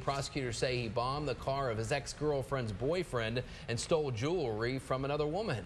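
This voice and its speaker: With music playing in the background, a man speaks at a moderate pace, his medium pitch showing ordinary variation. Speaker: TV news anchor. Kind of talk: TV news anchor read.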